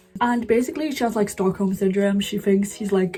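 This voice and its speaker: A woman with a British accent talks at a fairly quick pace with fairly even intonation over noticeable background noise. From UK. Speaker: book youtuber. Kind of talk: casual monologue. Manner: chatty, frequent fillers.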